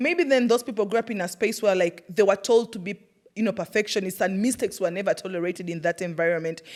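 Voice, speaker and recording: A woman with a strong Ugandan accent and an animated tone. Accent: Ugandan, thick. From Uganda, Iganga. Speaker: podcast host, former teacher. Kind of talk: personal storytelling monologue. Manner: animated, conversational.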